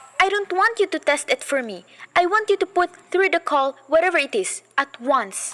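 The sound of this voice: In a put-on character voice, a woman talks at a moderate pace with an extremely high pitch, a fairly bright tone and big pitch swings.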